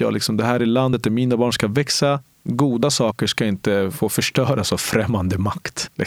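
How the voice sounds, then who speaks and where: There is noticeable background noise behind a man with a Spanish accent. He talks at a fairly quick pace with a medium pitch and ordinary pitch variation. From Colombia, moved to Sweden at nine. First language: Spanish (speaking Swedish). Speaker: police officer. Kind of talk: interview. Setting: recorded at a cultural centre. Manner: animated.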